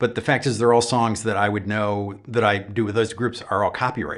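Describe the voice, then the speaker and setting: He speaks in an ordinary speaking voice. The pitch is medium for a man and the pace is moderate. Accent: American. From Upstate New York. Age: 60s. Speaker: YouTube guitar channel host. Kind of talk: live stream chat. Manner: casual, many fillers.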